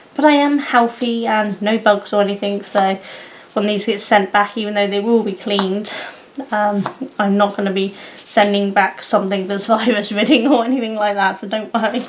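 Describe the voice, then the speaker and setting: A woman's medium-pitched voice with fairly even intonation at a moderate pace, over noticeable background noise. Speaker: craft and puzzle vlogger. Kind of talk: casual vlog chat.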